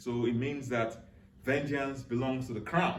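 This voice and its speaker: A man with a Nigerian accent speaks at a very slow pace in a medium pitch. His pitch varies in an ordinary way, and room echo is audible. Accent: Nigerian (Yoruba) English. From southwest Nigeria, Yoruba. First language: Yoruba. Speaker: cultural speaker. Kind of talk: educational talk. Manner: halting.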